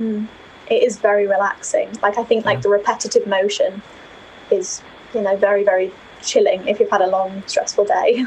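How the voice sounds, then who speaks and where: This woman has a slight northern English accent. She talks at a fairly quick pace. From Yorkshire, northern England. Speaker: university student and knitter. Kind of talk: casual interview chat. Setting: video call from student accommodation.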